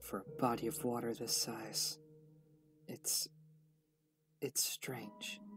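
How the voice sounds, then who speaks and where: A man puts on a raspy character voice, fairly high in pitch, at a very slow pace with long, frequent pauses. Faint music plays in the background. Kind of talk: introspective narration. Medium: dub.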